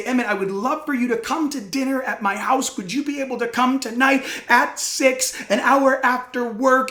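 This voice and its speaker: A woman puts on a character voice with a high pitch, speaking at a moderate pace with a slight echo. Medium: stage play. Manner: flustered, hurried.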